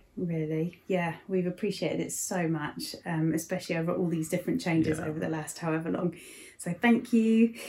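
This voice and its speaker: With an English accent, a woman talks at a fairly quick pace in a fairly low pitch, her pitch varying in an ordinary way. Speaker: church service host. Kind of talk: casual chat and prayer. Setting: living room at home.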